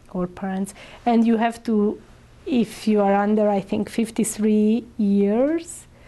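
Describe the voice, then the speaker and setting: A woman's fairly high voice in a Hungarian accent, dark and mellow in tone, very slow, with ordinary pitch variation. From Hungary. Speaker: immigrant integration council coordinator. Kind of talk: interview answer. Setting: interview.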